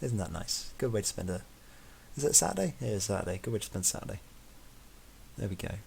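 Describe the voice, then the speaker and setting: A man with a British accent and a very deep, low pitch talks at a very fast pace with vocal fry, broken by long, frequent pauses. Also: lively intonation. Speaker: gaming streamer. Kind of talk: live gameplay commentary. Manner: quiet.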